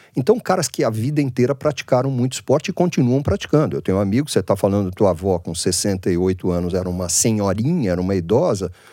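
A man speaks very fast with hardly any pauses, his fairly low voice dark and mellow in tone and his intonation lively. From Brazil, Santos. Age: 60s. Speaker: business founder. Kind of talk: casual chat.

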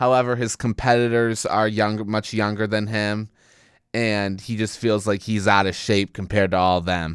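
On a very clean recording with a silent background, a man with an ordinary speaking voice talks at a moderate pace and a medium pitch. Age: 20s. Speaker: college radio host. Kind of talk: casual podcast monologue.

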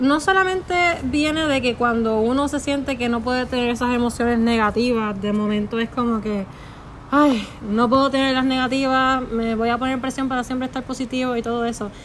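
This woman's voice is high in pitch with ordinary variation. She talks at a fairly quick pace. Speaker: psychology student. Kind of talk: casual explanation. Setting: friend's house.

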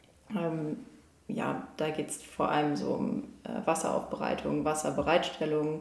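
Speaking at a fairly slow pace, a woman is heard through noticeable background noise and audible room echo. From northern Germany, near Lübeck. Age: 20s. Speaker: engineering student. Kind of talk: casual interview.

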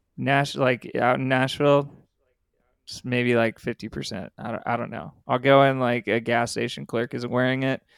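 In a very clean recording with a silent background and dry, close sound free of echo, a man with a Californian accent speaks at a moderate pace in a medium pitch with fairly even intonation. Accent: Californian American. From California (San Diego, Ridgecrest). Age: 30s. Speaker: rock band vocalist. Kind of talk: casual interview chat.

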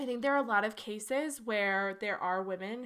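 Recorded very cleanly against a silent background, a woman with an ordinary speaking voice talks in a fairly high pitch with ordinary pitch variation. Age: 20s. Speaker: podcast co-host. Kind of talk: casual chat.

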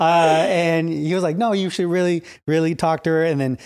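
This is an unremarkable speaking voice at a fairly quick pace, with fairly even intonation. The recording is very clean, with a silent background. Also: man. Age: 30s. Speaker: church youth minister. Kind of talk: casual chat.

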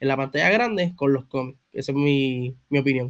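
A man speaks with a Puerto Rican accent and fairly even intonation. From Puerto Rico (Bayamón). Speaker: comics content creator. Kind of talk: casual interview chat.

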